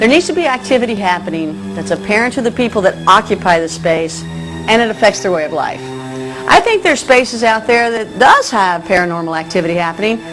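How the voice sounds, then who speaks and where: Over music in the background, the speaker moves at a fairly quick pace. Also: woman. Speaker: broadcaster. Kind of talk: TV audition to camera. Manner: casual, conversational.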